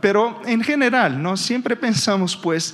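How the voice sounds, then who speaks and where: This man speaks in a Brazilian accent with a high pitch. His intonation is lively. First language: Portuguese (speaking Spanish). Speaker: energy industry analyst. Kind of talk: conference presentation. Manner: halting, with frequent fillers and repetitions.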